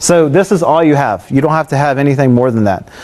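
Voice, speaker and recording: Through noticeable background noise, a man with a fairly high pitch speaks with lively intonation. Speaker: tech presenter. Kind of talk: technical presentation with live demo. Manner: fast; casual with many fillers.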